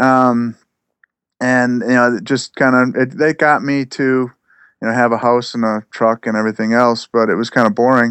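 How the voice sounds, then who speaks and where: Dry and close with no echo, a man's unremarkable speaking voice has a medium pitch, fairly even intonation and a moderate pace. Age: 40s. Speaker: self-employed plant grower and broom maker. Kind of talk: casual podcast interview.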